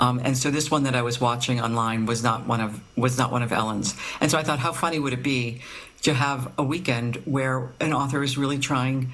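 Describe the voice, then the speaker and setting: A woman with a very deep, low pitch, fairly even intonation and a moderate pace, in audible room echo. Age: 60s. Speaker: novelist. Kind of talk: interview. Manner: halting, many fillers.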